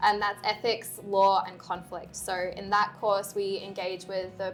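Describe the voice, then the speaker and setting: With music in the background, a woman of medium pitch speaks in an Australian accent at a moderate pace. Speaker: university lecturer. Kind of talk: casual panel discussion.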